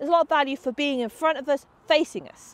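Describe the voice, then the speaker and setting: Very fast speech, dry and echo-free. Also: woman. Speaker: dog agility trainer. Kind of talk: tutorial. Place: open country.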